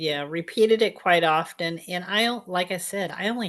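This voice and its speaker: Ordinary pitch variation runs through an ordinary speaking voice delivered at a moderate pace. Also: woman. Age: 60s. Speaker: guest sharing a product testimony. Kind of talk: testimony.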